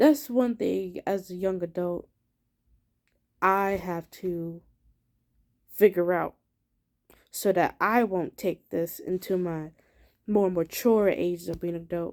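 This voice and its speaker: Speaking very slowly with long, frequent pauses, a woman shows ordinary pitch variation on a very clean recording with a silent background. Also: medium pitch for a woman. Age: 20s. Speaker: vlogger. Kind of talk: casual monologue. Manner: animated.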